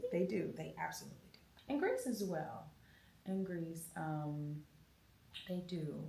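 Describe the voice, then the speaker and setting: A woman with an American accent speaks at a fairly slow pace with long, frequent pauses, amid audible room echo and noticeable background noise. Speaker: jazz and soul singer. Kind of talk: interview.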